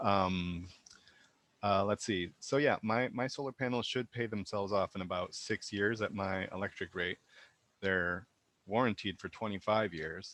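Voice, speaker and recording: Fairly low male voice with ordinary pitch variation at a moderate pace, dry and close with no echo. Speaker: solar homeowner sharing experience. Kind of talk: webinar testimony. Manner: hesitant, many fillers.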